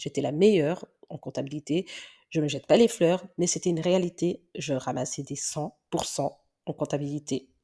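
A woman's very deep, low voice with a dark, mellow tone and a strong Belgian accent, moderate pace and ordinary pitch variation, on a very clean recording with a silent background. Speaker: podcaster and teacher. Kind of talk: personal monologue podcast. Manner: hesitant, many fillers.

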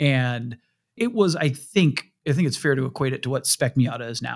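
In a very clean recording with a silent background and a dry, close sound with no echo, a man with an unremarkable speaking voice and medium pitch talks at a fairly quick pace. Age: 40s. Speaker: podcast host, car auction site editor. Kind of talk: casual chat.

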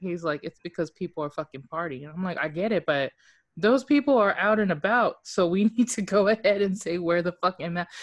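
A woman's unremarkable speaking voice, medium in pitch, with lively intonation and a fairly quick pace, dry and close with no echo over a quiet background. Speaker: podcast co-host. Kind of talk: casual chat.

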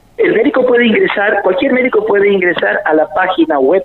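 A man at a moderate pace with very wide pitch swings, over noticeable background noise. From Argentina, interior of Córdoba province. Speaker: biochemist researcher. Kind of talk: radio interview. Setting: phone call.

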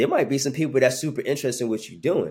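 In a very clean recording with a silent background, a man with a New York accent speaks with lively intonation. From Brooklyn, New York. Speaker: sports marketing executive. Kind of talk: podcast interview.

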